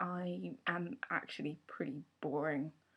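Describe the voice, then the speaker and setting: A woman's fairly low voice with a southern English accent. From southern England, Surrey. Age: 20s. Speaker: vlogger. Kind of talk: casual vlog. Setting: at home.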